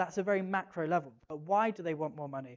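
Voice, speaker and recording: Very fast speech with an English accent. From England. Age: 30s. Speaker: conference speaker. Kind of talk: keynote talk. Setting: stage with audience. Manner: animated.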